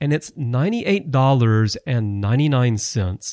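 Recorded very cleanly with a silent background and a dry, close sound with no echo, a man talks at a moderate pace and medium pitch with very wide pitch swings. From Alabama. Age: 40s. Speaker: podcast host. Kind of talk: news podcast monologue.

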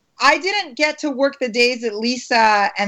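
A woman speaks with an American accent at a high pitch. Her pitch varies in an ordinary way. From US, Maryland. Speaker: actress. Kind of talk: interview.

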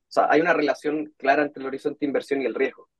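The man speaks at a very fast pace. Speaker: portfolio manager. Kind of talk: interview.

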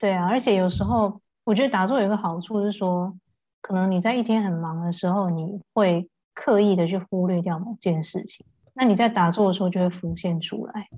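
Somewhat breathy and dark, mellow in tone, a woman talks at a fairly quick pace with a medium pitch and ordinary pitch variation. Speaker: voice healer. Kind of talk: casual chat. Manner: calm, gentle.

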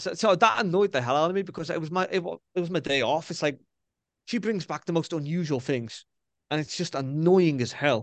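Speaking with a Scouse accent, a man uses an animated tone at a fairly high pitch. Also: ordinary pitch variation. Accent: Scouse (Liverpool) English. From Liverpool, England. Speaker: spiritual medium. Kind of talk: interview.

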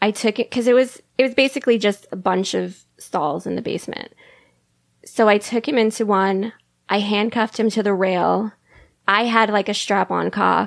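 A woman's voice with vocal fry, fairly even intonation and a moderate pace. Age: 30s. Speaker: guest, sex worker. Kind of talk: casual chat.

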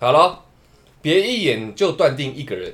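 His pitch makes very wide swings. The man speaks fairly slowly, with vocal fry. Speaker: podcast host. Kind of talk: casual chat. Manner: animated.

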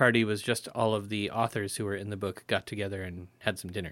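In a very clean recording with a silent background, a man with an unremarkable speaking voice talks at a fairly low pitch. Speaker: interviewer, moderator. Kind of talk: casual chat.

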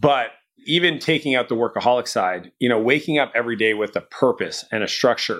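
On a very clean recording with a silent background, a man speaks at a fairly quick pace. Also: medium pitch for a man, ordinary pitch variation. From Canada. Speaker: entrepreneur and business coach. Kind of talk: interview.

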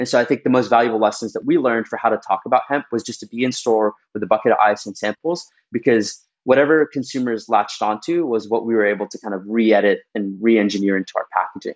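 A man at medium pitch with ordinary pitch variation, a very fast pace and hardly any pauses, dry and close with no echo, against a quiet background. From Middle East, then Texas from age 11. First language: Arabic. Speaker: beverage company founder and CEO. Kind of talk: interview.

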